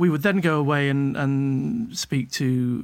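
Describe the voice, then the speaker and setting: With a British accent, a man speaks in a fairly high voice. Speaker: documentary producer. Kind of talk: casual chat. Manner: halting.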